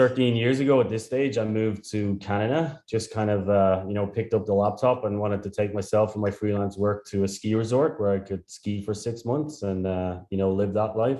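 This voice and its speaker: A man with a strong Irish accent and a dark, mellow tone, speaking at a fairly quick pace with fairly even intonation and hardly any pauses against a quiet background. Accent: thick Irish. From Ireland. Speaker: startup founder and CEO. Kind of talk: interview.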